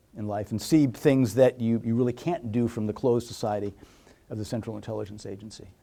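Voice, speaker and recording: Man at medium pitch with a very fast pace. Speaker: former intelligence officer and author. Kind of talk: talk with audience Q&A. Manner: animated; halting.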